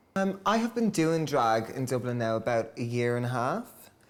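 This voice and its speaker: A medium-pitched man speaks with an Irish accent. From Ireland. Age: 20s. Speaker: hairdresser and drag queen. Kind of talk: interview. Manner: hesitant, many fillers.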